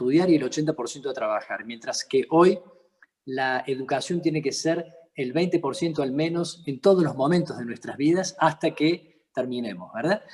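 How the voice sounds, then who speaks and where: Ordinary pitch variation marks this speech. A man talks in a fairly high pitch. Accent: Córdoba. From Argentina, Córdoba. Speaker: interviewer, accountant and entrepreneur. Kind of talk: interview. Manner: halting.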